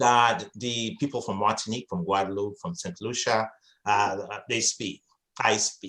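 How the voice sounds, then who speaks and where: The speaker is a man with a medium pitch. His tone is bright and sharp. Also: ordinary pitch variation, moderate pace. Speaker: interviewer. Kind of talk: interview conversation. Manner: halting, with fillers.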